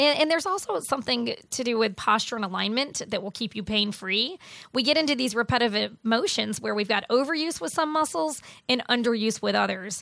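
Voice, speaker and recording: With an American accent, a woman speaks at a fairly quick pace in a fairly high voice marked by lively intonation and vocal fry, in a very clean recording with a silent background. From Buffalo, New York. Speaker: fitness coach and business owner. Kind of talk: radio interview. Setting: radio studio.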